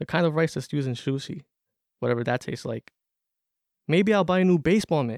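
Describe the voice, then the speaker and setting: Lively in intonation and very fast in pace, an American-accented voice breaks into long, frequent pauses, with a dry, close sound and no echo. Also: man, fairly high pitch for a man. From Corona, Queens, New York. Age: 20s. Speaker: student writer. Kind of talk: reading aloud.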